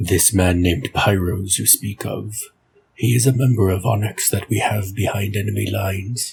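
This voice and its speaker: A man puts on a character voice at a fairly low pitch and a moderate pace. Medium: read story. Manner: thoughtful, deliberate.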